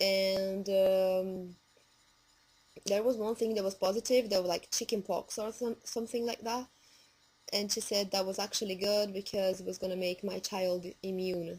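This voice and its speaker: A woman speaks at a moderate pace and a medium pitch, her intonation monotone and flat. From Brazil. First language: Portuguese. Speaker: vlogger. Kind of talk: casual vlog.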